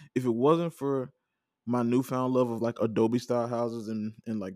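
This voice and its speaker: Relaxed and fairly quick, a man with a Southern US accent speaks at medium pitch in a dark, mellow tone, with a dry, close sound with no echo on a very clean recording with a silent background. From Mississippi. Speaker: podcast host. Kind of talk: casual solo podcast monologue. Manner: relaxed, conversational.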